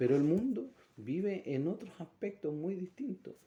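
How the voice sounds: A man speaks with big swings in pitch. His tone is dark and mellow, with a slightly husky edge.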